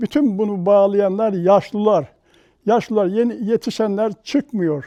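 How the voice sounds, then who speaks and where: A dark, mellow tone at a very slow pace, dry and close with no echo, over a quiet background. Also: man. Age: 80s+. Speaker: broom maker. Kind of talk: interview answer.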